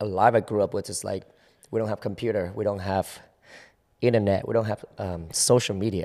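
In a Vietnamese accent, a man speaks at a moderate pace with a dark, mellow tone and a fairly low pitch, in a very clean recording with a silent background. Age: 20s. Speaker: choreographer. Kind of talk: casual interview chat. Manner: casual, hesitant.

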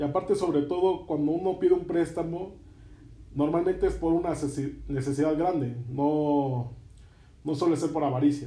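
A man with a dark, mellow tone speaks at a fairly high pitch and a moderate pace. His intonation is fairly even, and room echo is audible. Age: 20s. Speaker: podcast host. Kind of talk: interview.

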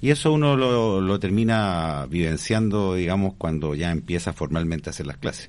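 At a moderate pace and with hardly any pauses, a man speaks in a very deep, low pitch with lively intonation. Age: 40s. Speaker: school director and teacher. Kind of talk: radio interview. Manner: halting.

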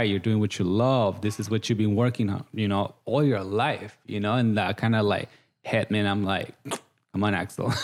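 Here a man with a Guatemalan accent talks at a moderate pace with fairly even intonation. His loudness stays very even. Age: 30s. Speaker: makeup artist, reality TV contestant. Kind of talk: casual interview. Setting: studio.

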